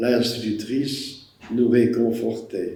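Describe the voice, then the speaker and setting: A man speaks at a medium pitch with monotone, flat intonation. Audible room echo surrounds his voice. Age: 80s+. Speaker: war witness. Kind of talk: testimony.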